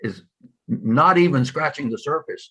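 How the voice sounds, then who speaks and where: A man's very slow speech with vocal fry. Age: old. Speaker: convener of a congregation's service. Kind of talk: group discussion after a talk. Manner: halting.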